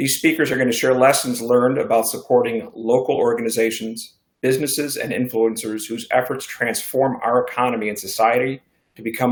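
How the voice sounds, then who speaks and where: At medium pitch, a man speaks at a fairly quick pace. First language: Spanish. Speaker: bank executive and event moderator. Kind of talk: formal event introduction. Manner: formal.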